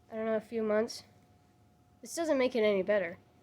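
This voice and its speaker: At a moderate pace, a woman talks in a normal speaking voice, fairly high in pitch with ordinary pitch variation. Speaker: YouTuber reviewing animal abuse videos. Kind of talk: video commentary. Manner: sarcastic.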